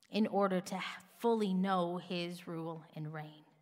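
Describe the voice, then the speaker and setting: A woman talks fairly slowly in a space with audible room echo. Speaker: pastor. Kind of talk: sermon.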